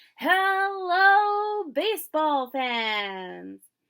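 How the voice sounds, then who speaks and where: A high-pitched, put-on character voice with very wide pitch swings. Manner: booming, enthusiastic.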